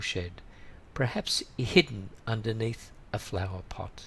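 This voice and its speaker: At a fairly slow pace, a man talks in a bright, sharp tone at medium pitch with ordinary pitch variation. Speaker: English teacher. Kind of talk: read story. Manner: clear, slow.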